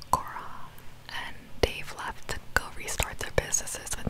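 A woman whispers and is soft-spoken. Loud background noise fills the recording. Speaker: storytelling vlogger. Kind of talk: casual vlog chat. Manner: soft close-mic whisper. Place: home room. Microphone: studio mic.

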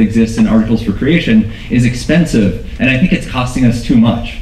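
Light background noise and audible room echo around a man at a moderate pace, with ordinary pitch variation. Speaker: research scientist. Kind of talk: conference talk. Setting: stage with audience. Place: hall.

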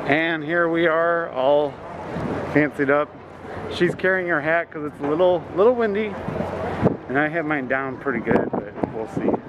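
Long, frequent pauses amid loud background noise. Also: moderate pace. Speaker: travel vlogger. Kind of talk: casual vlog chat. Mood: cheerful, relaxed. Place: street. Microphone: phone near.

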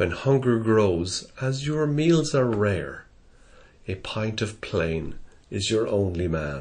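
With audible room echo, a man with an Irish Midlands accent speaks very slowly at a fairly low pitch, somewhat breathy. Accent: Irish Midlands accent, flat. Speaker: poetry reader. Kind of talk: reading aloud.

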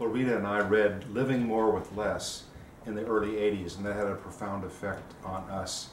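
With a monotone, flat intonation, a man talks at a moderate pace and a fairly low pitch. Audible room echo and light background noise surround his voice. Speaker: simple living activist and podcaster. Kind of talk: interview. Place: home room. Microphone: camera far.

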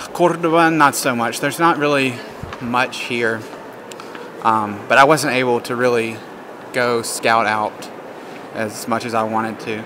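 A man talks at a fairly slow pace with noticeable background noise behind him. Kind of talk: casual vlog chat. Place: church. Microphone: phone near.

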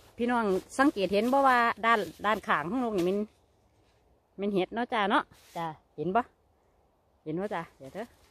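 The intonation is lively, and the sound is dry with no echo. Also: woman. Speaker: mushroom forager vlogger. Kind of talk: casual vlog chat. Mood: cheerful, chatty. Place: forest. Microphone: phone near.

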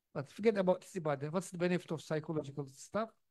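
Against a quiet background, a man with a Turkish accent speaks at a high pitch with lively intonation. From Turkey. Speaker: theology professor and speaker; theology professor, speaker. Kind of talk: lecture. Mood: warm, animated storytelling. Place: hall. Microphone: handheld.

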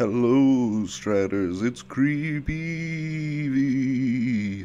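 A man uses a put-on character voice at a medium pitch, speaking at a very slow pace. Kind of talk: put-on, strained. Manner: theatrical.

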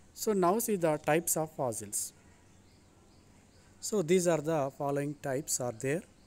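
With ordinary pitch variation, a man speaks fairly slowly. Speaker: teacher. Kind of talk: lecture. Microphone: phone near.

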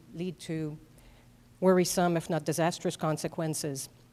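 A woman speaks at a moderate pace in a French Canadian accent. Her pitch sits fairly low, and her intonation stays flat and monotone. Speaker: public commenter at school board meeting. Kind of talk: prepared public comment. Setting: school board meeting. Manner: formal.

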